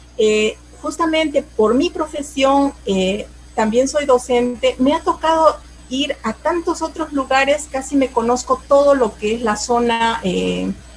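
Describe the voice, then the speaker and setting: Noticeable background noise runs under this recording. A woman with a high pitch speaks at a fairly slow pace. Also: ordinary pitch variation. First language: Aymara (speaking Spanish). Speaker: teacher and cultural promoter. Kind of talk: interview. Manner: halting, many fillers.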